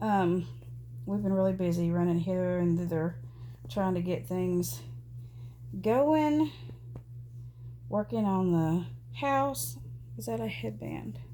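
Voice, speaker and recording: In a room with audible echo, a woman speaks at a fairly slow pace with long, frequent pauses. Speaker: doll collector vlogger. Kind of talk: casual chat. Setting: at home. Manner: halting, filler-heavy.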